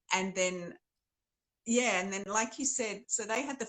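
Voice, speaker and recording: A woman at medium pitch speaks in a bright, sharp tone with ordinary pitch variation and a dry, close, echo-free sound. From Australia. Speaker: novelist. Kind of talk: interview conversation.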